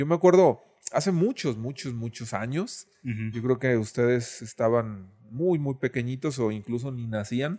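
The man's voice has a dark, mellow tone and a medium pitch. He talks at a fairly slow pace with ordinary pitch variation. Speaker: illustrator. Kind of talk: casual chat.

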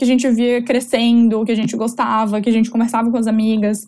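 A woman talks at a moderate pace in a fairly high voice. It is an ordinary speaking voice. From southern Brazil, Florianópolis. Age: 20s. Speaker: entrepreneur. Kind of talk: casual interview chat.

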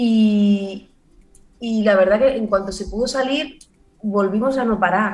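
Speaking very slowly with long, frequent pauses, a woman with a Barcelona accent sounds somewhat breathy, her intonation fairly even and audible room echo around her. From Barcelona, Spain. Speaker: actress and comedian. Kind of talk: casual chat.

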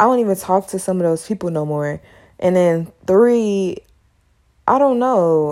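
With a dark, mellow tone at medium pitch, a woman speaks fairly slowly with ordinary pitch variation. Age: 20s. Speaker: podcast host; college student. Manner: stumbles over words; casual, slangy.

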